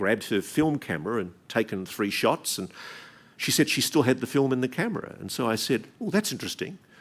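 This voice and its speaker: Very wide pitch swings in a man's voice, with an Australian accent. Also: very clean recording, silent background. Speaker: investigative journalist. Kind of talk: keynote speech.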